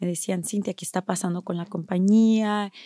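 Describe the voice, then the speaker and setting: A woman speaks at a medium pitch with fairly even intonation and a dark, mellow tone, in a very clean recording with a silent background and a dry, close sound with no echo. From Mexico (Durango). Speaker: staffing agency owner. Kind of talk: interview.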